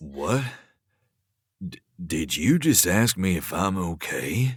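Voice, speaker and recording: Using a put-on character voice, the speaker sounds raspy, moving at a fairly slow pace with very wide pitch swings. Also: man, very deep, low pitch for a man. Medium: audio drama. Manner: mocking, low, teasing.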